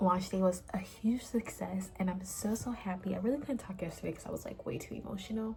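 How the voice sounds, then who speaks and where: The speech comes at a fairly quick pace with hardly any pauses and ordinary pitch variation, over noticeable background noise. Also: woman, medium pitch for a woman. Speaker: small business owner and vlogger. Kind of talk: casual vlog.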